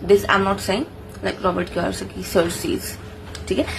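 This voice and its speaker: There is noticeable background noise. A woman is speaking. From India, Maharashtra. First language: Marathi. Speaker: engineer and book review vlogger. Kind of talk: casual book summary vlog. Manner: halting, self-correcting.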